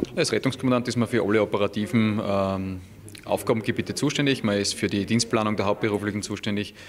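Light background noise runs under a man's voice. He speaks fairly quickly with a fairly low pitch. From Austria, Styria. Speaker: incoming rescue service commander. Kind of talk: interview. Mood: calm, matter-of-fact. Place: hall. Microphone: handheld.

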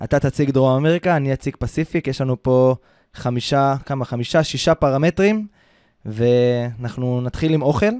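A man with a plain, everyday voice talks at a moderate pace in a fairly high pitch with ordinary pitch variation. The recording is very clean, with a silent background and a dry, close sound with no echo. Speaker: podcast host, travel consultant. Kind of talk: casual chat. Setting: studio, Ramat Gan.

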